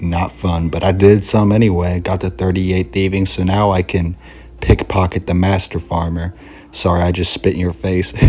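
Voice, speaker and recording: The words come out as a whisper at a moderate speed. Background noise is noticeable throughout. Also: man. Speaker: gaming video creator. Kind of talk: casual gameplay commentary. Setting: at home with roommates. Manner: whispering in a weird cadence.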